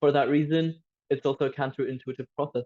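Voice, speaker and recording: A man's dark, mellow voice with a Turkish Cypriot accent, fairly even intonation and a dry, close sound with no echo. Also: quiet background. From Cyprus. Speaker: youth podcast panelist, student. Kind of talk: casual discussion podcast. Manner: halting, with repetitions and fillers.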